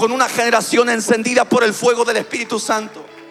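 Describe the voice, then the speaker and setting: Music plays in the background. Over it, a man speaks at an extremely high pitch. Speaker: pastor. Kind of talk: sermon. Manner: animated.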